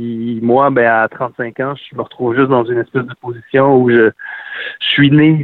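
Speaking at a medium pitch and a fairly slow pace, a man keeps a monotone, flat intonation. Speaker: singer-songwriter. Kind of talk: interview. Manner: hesitant, many fillers.

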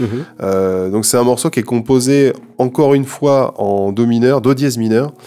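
Music in the background under a male voice of medium pitch and ordinary pitch variation. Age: 30s. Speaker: composer and sound engineer. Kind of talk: casual chat about a video game. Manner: halting, many repetitions and fillers.

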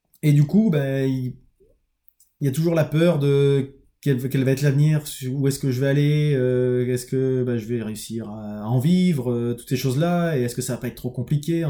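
A man's dark, mellow voice at a medium pitch, with ordinary pitch variation and a moderate pace, on a very clean recording with a silent background. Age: 30s. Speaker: construction employee turning entrepreneur, vlogger. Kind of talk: personal video diary monologue. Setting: home office, recording alone on camera. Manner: halting, many hesitations and repetitions.

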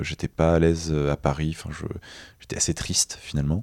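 A man's very deep, low voice at a moderate pace, dry and close with no echo. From Nice, southern France. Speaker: freediver. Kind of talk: interview. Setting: festival recording.

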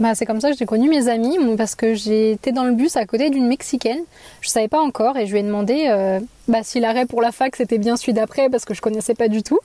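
A woman's fairly high, dark and mellow voice at a very fast pace, with very even loudness, ordinary pitch variation, and a dry, close sound with no echo. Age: 20s. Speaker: Spanish teacher. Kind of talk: casual chat.

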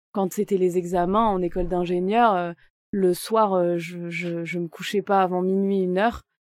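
Her voice sits at a medium pitch for a woman. The intonation is monotone and flat. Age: 30s. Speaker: real estate advisor. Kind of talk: interview.

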